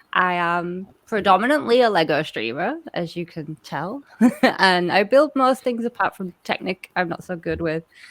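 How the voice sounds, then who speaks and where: Speaking in an English accent, a woman uses very wide pitch swings around a medium pitch at a moderate pace, in a dry, close sound with no echo on a very clean recording with a silent background. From England. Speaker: streamer and contestant. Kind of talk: self-introduction.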